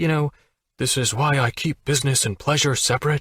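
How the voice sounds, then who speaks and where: A man uses a put-on character voice. It sits at a fairly high pitch. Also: fairly quick pace. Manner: mocking imitation.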